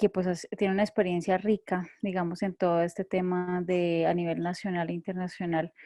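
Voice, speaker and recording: With a Bogotá accent, a woman speaks at a moderate pace and medium pitch in a dark, mellow tone with monotone, flat intonation, captured with a dry, close sound with no echo against a quiet background. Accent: Bogotá Colombian Spanish. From Colombia, Bogotá. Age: 30s. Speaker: communicator and theologian. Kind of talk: online panel discussion. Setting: video call.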